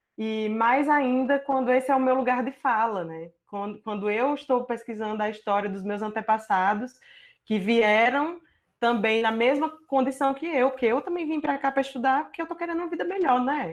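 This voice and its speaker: A woman with a Paraíba accent, high in pitch, with lively intonation at a moderate pace against a quiet background. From Paraíba, northeastern Brazil. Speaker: visual artist and doctoral researcher. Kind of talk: online artist talk presenting own work. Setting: video call from home.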